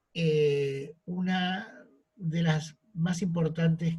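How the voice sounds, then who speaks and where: A man speaks in an Argentine accent with a high pitch. His intonation stays fairly even. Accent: Rioplatense Argentine Spanish. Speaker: art history lecturer. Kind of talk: lecture. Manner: frequent fillers and self-corrections.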